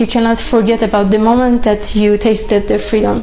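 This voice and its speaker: Someone speaks with a Persian accent while faint music plays in the background. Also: woman. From Iran. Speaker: chess grandmaster. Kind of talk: interview answer. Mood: calm, earnest, reflective. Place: home room.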